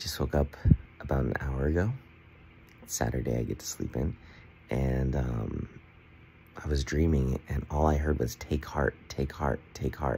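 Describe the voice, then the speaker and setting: At a moderate pace, a man talks in a very deep, low pitch over light background noise. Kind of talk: casual vlog chat. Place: home room. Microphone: phone near.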